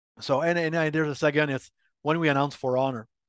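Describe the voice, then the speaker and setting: A man with a Quebec accent talks at a fairly high pitch with fairly even intonation. The sound is dry and close with no echo, over a quiet background. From Quebec, Montreal. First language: French. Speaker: game industry marketing executive. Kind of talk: interview.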